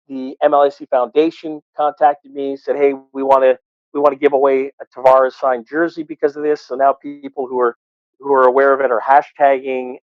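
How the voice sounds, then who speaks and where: A man speaks at a fairly quick pace with a fairly high pitch and a monotone, flat intonation. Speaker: arena PA announcer and radio host. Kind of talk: casual interview answer.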